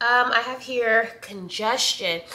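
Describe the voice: A woman talks slowly in a fairly high, nasal voice. Her tone is bright and sharp. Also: ordinary pitch variation.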